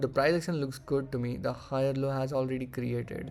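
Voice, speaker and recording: The speaker has a Marathi accent. The delivery moves at a fairly quick pace. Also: man. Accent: Indian English, Marathi. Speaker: forex trader. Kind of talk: trading tutorial; casual chat. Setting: screen-shared recording. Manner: halting.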